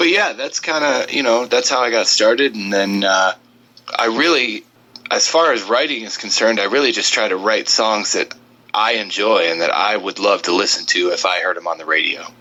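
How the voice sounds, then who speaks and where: Over noticeable background noise, a man with a medium pitch speaks at a moderate pace with lively intonation. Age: 30s. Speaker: country singer. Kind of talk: interview. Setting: Skype call.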